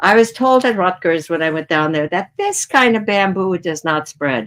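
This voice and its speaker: Speaking at a fairly slow pace, a woman with a fairly low pitch makes very wide pitch swings. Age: 80s+. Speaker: gardener. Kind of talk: interview answer.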